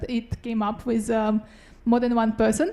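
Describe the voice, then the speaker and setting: This woman speaks in a Russian accent at a fairly high pitch. Her pace is moderate. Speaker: doctoral student researcher. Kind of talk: short research talk (Ignite talk).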